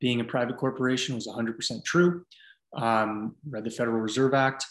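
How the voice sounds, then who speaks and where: A man with an American accent, an ordinary speaking voice, medium pitch and moderate pace, over a quiet background. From US West Coast, San Francisco Bay Area. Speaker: fitness coach. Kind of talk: casual interview.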